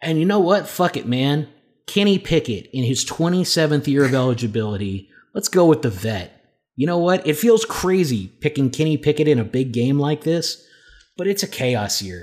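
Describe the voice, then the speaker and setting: A man talks at a moderate pace in a fairly high voice, his animated tone carried by very wide pitch swings. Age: 30s. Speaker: sports podcast co-host. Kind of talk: casual chat.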